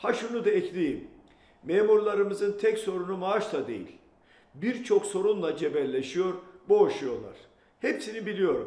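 A man at a fairly slow pace, with audible room echo. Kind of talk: political address to camera. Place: home room.

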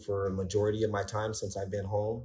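Somewhat breathy and fairly low, a man speaks in a monotone, flat intonation over light background noise. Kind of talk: testimonial interview answer. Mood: reflective, earnest. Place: home room. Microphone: phone near.

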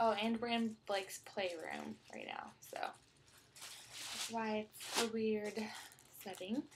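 Soft-spoken talk at a very slow pace, with ordinary pitch variation and noticeable background noise. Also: woman, fairly high pitch for a woman. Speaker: vlogger mom. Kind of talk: casual vlog haul. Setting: child's playroom at home. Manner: soft-spoken, talking quietly. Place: home room. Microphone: webcam.

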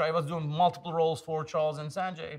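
Against a quiet background, a man speaks in a high pitch with a Turkish accent. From Turkey, Istanbul. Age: 50s. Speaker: tech executive and investor. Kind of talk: casual interview. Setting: in-person recording in San Francisco. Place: studio. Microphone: lapel.

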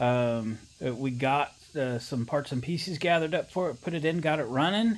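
A man's pitch varies in an ordinary way as he talks at a moderate pace. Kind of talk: casual repair vlog narration. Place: garage.

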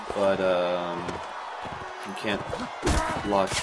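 Very slow speech over loud background noise. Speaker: game commentator. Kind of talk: video game let's play commentary.

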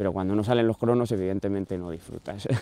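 A man speaks with a dark, mellow tone in a dry sound with no echo. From Spain, Salamanca; Spain. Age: 30s. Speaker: marathon runner; interviewee. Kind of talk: interview. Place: stadium. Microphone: lapel.

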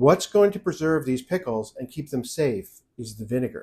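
Somewhat breathy, this male voice carries a dark, mellow tone. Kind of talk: tutorial. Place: kitchen.

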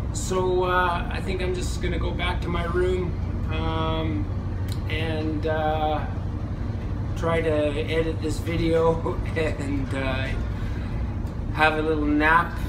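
A man speaks at a very slow pace with long, frequent pauses over noticeable background noise. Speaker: travel vlogger. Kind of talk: casual vlog chat. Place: boat. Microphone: phone near.

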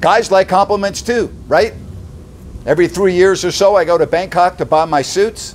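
There is light background noise behind a man with a high pitch. He speaks at a moderate pace with ordinary pitch variation and very even loudness. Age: 60s. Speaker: sports talk host; commentator. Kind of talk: indignant opinion rant delivered straight to camera; opinion rant commentary. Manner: punchy, loud, mocking rhetorical questions; sarcastic, exasperated and emphatic, building to outraged disbelief. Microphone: phone near.

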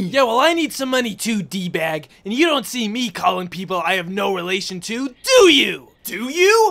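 A moderate pace and a high pitch for a man, from a male speaker. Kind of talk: comic overacting. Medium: machinima. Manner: shouting, paranoid, escalating rant.

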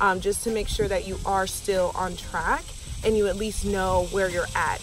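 A woman's fairly slow voice, dry and echo-free, over noticeable background noise. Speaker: fitness vlogger. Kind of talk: casual vlog tips. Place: open country. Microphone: phone near.

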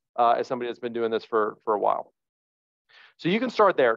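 The background stays quiet. This man talks in an American accent. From northern New Jersey. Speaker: real estate agent; presenter. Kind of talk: training presentation. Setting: video call. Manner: animated. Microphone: webcam.

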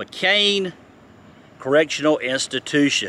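A man's bright, sharp tone moves through very wide pitch swings at a fairly slow pace. The sound is dry, with no echo. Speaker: travel vlogger. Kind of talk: casual vlog chat. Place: open country. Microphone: phone near.

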